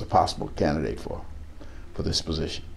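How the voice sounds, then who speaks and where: A man speaks with an American accent. Room echo and noticeable background noise are audible. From East Texas. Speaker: local politician. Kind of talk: interview. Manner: halting, with frequent fillers and repetitions.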